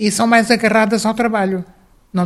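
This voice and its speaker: A woman talks very fast in a somewhat breathy voice. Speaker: former mayor. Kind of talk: interview testimony.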